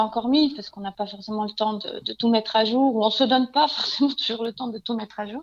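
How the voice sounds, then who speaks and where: A woman talks very fast at a fairly high pitch with fairly even intonation, amid noticeable background noise. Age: 30s. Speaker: home stager. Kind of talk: interview. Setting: remote call.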